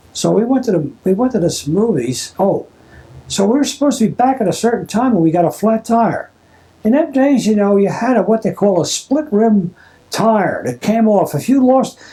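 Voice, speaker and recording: In a Philadelphia accent, this dark, mellow voice moves with lively intonation at a very even loudness. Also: man, high pitch for a man, moderate pace. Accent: Philadelphia American English. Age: 80s+. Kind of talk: family oral history interview. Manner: casual, rambling storytelling.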